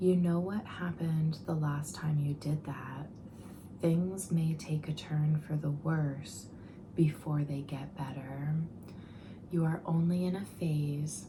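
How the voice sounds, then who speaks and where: A soft-spoken voice talking at a very slow pace. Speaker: ASMR tarot reader. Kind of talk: soft-spoken ASMR tarot reading to camera.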